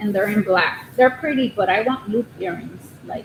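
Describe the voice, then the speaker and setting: Quiet and fairly high-pitched, a woman speaks with lively intonation over noticeable background noise. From Southern California. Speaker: crochet livestreamer. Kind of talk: casual livestream chat. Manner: quiet, shy.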